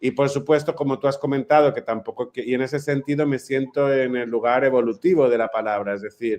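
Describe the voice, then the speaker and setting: With a Catalan accent, a man at medium pitch talks at a fairly quick pace with hardly any pauses and fairly even intonation. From Mallorca, Spain. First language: Catalan (speaking Spanish). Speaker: playwright. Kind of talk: panel discussion.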